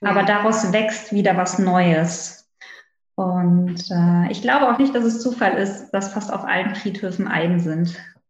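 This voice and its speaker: Room echo can be heard. Delivery is fairly slow, and the pitch varies in an ordinary way. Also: woman, medium pitch for a woman. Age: 30s. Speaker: naturopath, former pediatric nurse. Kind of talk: interview conversation.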